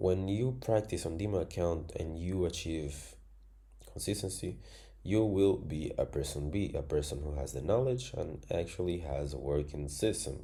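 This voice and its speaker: With audible room echo, a man with a non-native accent speaks at a moderate pace in a very deep, low pitch, his dark, mellow voice showing vocal fry and lively intonation. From Angola. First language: Spanish. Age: 20s. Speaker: trading educator. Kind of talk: tutorial.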